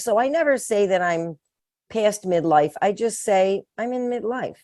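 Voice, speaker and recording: Fairly high-pitched woman's voice, an ordinary speaking voice, with lively intonation at a fairly slow pace over a quiet background. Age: 60s. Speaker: midlife strength trainer. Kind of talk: interview. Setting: podcast interview.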